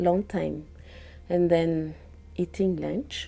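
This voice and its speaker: A woman is speaking. She talks with a Malagasy accent. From Madagascar. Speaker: field biologist. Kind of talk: interview. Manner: halting.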